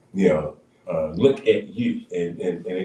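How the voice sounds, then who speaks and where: A man keeps a moderate pace while noticeable background noise runs beneath his voice. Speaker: pastor and radio co-host. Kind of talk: radio talk show discussion. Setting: radio studio. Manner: halting, repeats words.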